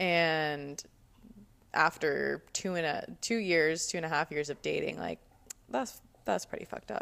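Long, frequent pauses break up a woman's fairly slow speech, delivered with an American accent. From New Jersey (Cherry Hill). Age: 20s. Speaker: podcast co-host. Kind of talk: casual interview about her life.

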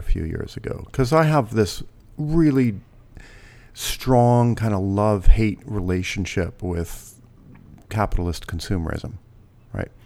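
This man has a normal speaking voice, fairly low in pitch, delivered at a moderate pace. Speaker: professor, evolutionary psychologist. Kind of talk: casual interview conversation.

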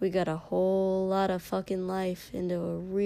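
Fairly even intonation in a natural reading voice.

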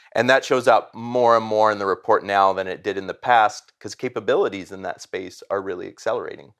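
A man talks at a fairly quick pace with hardly any pauses and big swings in loudness. The recording is very clean and the background silent. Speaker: chief operations officer. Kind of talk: interview.

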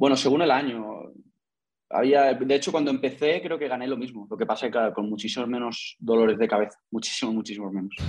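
A man at a medium pitch, talking at a very fast pace with ordinary pitch variation. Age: 20s. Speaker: investor and entrepreneur. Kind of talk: interview.

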